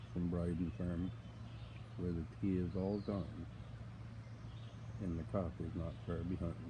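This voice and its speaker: A man's soft-spoken, somewhat breathy voice, very deep and low in pitch, in a dark, mellow tone, with lively intonation, a fairly slow pace and audible room echo. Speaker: farmer. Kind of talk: casual live-stream chat. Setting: outdoors on a farm. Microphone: too quiet, viewer asks him to speak up.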